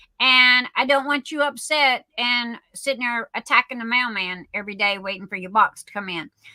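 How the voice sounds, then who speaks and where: Animated and high-pitched, a woman with a Southern US accent speaks with ordinary pitch variation and big swings in loudness. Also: moderate pace, hardly any pauses. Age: 60s. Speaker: livestream host, craft shop owner. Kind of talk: casual livestream chat. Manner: halting, many fillers.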